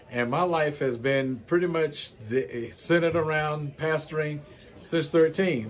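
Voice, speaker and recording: Noticeable background noise and audible room echo surround a man's voice. He talks at a moderate pace with ordinary pitch variation. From US South. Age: 60s. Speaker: pastor. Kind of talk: interview. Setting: church.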